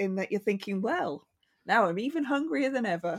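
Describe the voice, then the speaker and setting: With lively intonation and a medium pitch, a woman talks in an unremarkable speaking voice. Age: 40s. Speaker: podcast host. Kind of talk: interview.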